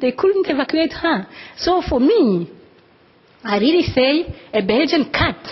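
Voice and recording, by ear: Speaking at a fairly slow pace, a woman with a high pitch makes big pitch swings.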